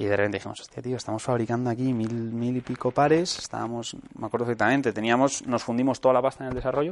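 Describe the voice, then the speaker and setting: Speaking very fast with hardly any pauses, a man keeps a medium pitch and fairly even intonation. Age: 20s. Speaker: entrepreneur. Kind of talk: talk to students. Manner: casual, halting.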